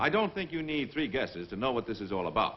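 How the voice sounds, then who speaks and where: Vocal fry in a man's voice, with very wide pitch swings at a moderate pace. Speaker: army officer, film narrator. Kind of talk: documentary narration.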